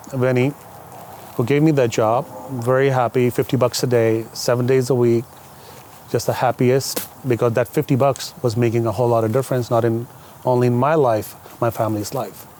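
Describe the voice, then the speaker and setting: Over noticeable background noise, a man talks at a fairly quick pace in a monotone, flat intonation, with very even loudness and long, frequent pauses. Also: medium pitch for a man. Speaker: limousine company owner. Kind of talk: podcast interview. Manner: talkative.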